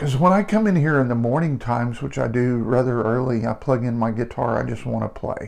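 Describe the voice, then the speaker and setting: Against noticeable background noise, a man talks at a fairly quick pace with hardly any pauses and ordinary pitch variation. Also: medium pitch for a man. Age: 60s. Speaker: guitarist and channel host. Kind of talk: casual talk to camera. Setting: home studio. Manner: halting, many fillers and repeats.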